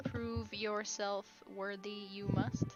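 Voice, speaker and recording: The voice sounds female and is a put-on character voice. Background noise is clearly heard. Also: medium pitch for a woman. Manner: archaic inverted-syntax phrasing.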